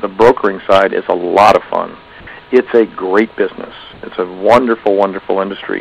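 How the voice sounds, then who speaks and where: Noticeable background noise sits under speech that is monotone and flat at a fairly quick pace. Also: man, fairly low pitch for a man. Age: 60s. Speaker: factoring business owner and trainer. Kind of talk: seminar talk. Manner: conversational with fillers.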